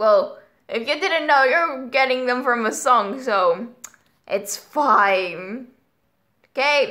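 Over a quiet background, a woman projects a raised voice with a bright, sharp tone and lively intonation at a very slow pace. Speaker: youtuber. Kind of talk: casual reaction vlog chat. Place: home room. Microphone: webcam.

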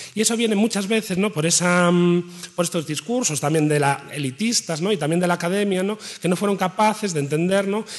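A man speaks at a fairly quick pace in a high pitch for a man, with ordinary pitch variation over a quiet background. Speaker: researcher; speaker. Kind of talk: panel presentation. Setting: stage with audience. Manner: colloquial, animated. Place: hall. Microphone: podium.

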